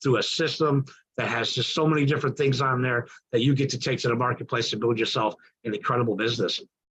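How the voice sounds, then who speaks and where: The tone is enthusiastic. Words come at a very fast pace. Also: man. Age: 60s. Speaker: business mentor. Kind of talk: testimonial speech. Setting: online group call.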